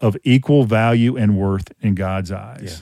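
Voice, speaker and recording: This man speaks with a Louisiana accent. His pitch varies in an ordinary way. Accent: Southern US (Louisiana). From Louisiana, Covington. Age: 50s. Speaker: open air preacher and apologetics teacher. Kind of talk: casual interview conversation; sermon-like exhortation.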